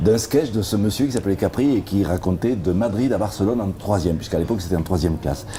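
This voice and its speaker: In a Roussillon accent, a man with a fairly low pitch and ordinary pitch variation speaks at a very fast pace with hardly any pauses and very even loudness over noticeable background noise. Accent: southern French (Perpignan) accent, kept. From Perpignan, French Catalonia. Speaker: comedian and songwriter. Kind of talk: interview. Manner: hesitant, many repetitions and fillers.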